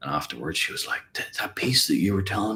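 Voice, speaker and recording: A man speaks with a Northern Irish accent. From Ireland. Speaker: guitar teacher. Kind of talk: live stream Q&A. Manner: casual, rambling.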